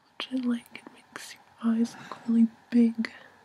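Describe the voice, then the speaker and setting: Noticeable background noise sits behind a woman. Her pitch is fairly high. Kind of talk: ASMR makeup tutorial. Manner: soft-spoken.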